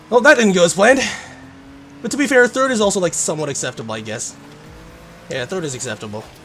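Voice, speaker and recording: With a high pitch for a man, very wide pitch swings and long, frequent pauses, this man speaks at a very fast pace over noticeable background noise. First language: Korean. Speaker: gaming streamer. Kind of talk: casual live-stream commentary while gaming.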